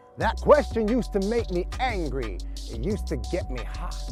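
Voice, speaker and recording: A man is speaking. Music plays in the background. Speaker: performance poet. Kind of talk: spoken word poetry performance.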